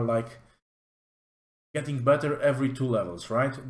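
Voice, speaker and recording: With a Polish accent, a man speaks at a fairly high pitch. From Poland. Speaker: tabletop game reviewer. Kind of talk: product review walkthrough. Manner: casual with many fillers.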